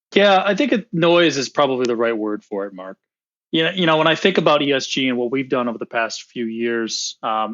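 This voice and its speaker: A man with an American accent speaks fairly quickly in an ordinary speaking voice. His pitch is medium and varies in an ordinary way. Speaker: equity research director. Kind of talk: interview podcast.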